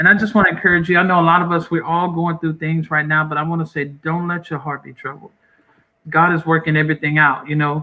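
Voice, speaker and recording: Using a Southern US accent, a man with a fairly high pitch talks at a very fast pace in a monotone, flat intonation. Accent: Southern US country. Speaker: pastor. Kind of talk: interview, encouraging closing words.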